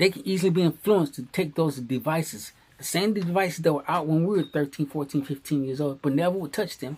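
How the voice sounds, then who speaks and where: A man with an American accent talks at a very fast pace with hardly any pauses. His voice is fairly high, with ordinary pitch variation. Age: 60s. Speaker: commentary vlogger. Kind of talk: opinion monologue. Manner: repetitive emphatic.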